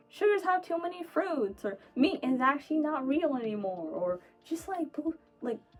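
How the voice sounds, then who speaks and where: A woman speaks at a fairly quick pace, her pitch swinging very widely. Music plays in the background. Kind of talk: personal monologue. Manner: halting, self-correcting; rapid word stream.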